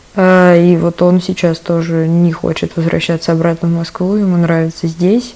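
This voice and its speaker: There is noticeable background noise behind a woman's voice. She speaks at a fairly low pitch in a monotone, flat way. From Tula. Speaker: cultural centre event curator. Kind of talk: recorded voice message story.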